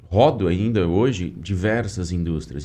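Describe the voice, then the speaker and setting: A man's very deep, low voice with a dark, mellow tone, at a fairly slow pace, in audible room echo. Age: 30s. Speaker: podcast host, environmental engineer. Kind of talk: casual interview chat. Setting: studio.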